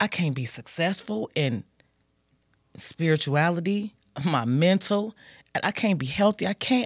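A woman with an American accent speaks at a fairly slow pace with very wide pitch swings, in a very clean recording with a silent background and a dry, close sound with no echo. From US Midwest, Gary, Indiana. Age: 40s. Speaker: person in addiction recovery. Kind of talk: testimony. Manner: halting, many fillers.

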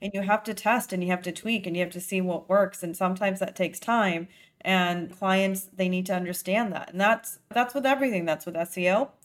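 Talking at a fairly quick pace with hardly any pauses, a woman keeps a medium pitch. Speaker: podcast host. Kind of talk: casual interview. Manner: upbeat, enthusiastic.

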